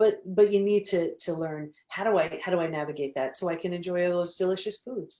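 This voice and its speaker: A woman with a fairly low pitch and ordinary pitch variation speaks at a fairly quick pace with hardly any pauses. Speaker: holistic psychologist and author. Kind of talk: interview. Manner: fast; animated.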